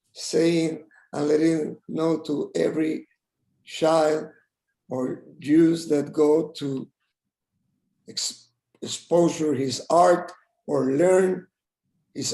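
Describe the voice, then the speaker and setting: Spoken very slowly in a Spanish accent, the voice has a dark, mellow tone and flat, monotone intonation, broken by long, frequent pauses. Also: man. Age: 70s. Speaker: tribute speaker. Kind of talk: tribute speech. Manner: halting.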